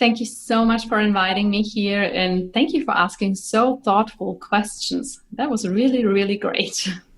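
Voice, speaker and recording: With a German accent, a woman speaks at a moderate pace and a fairly high pitch, somewhat breathy, with ordinary pitch variation and hardly any pauses. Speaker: Ayurveda doctor and podcaster. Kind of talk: interview.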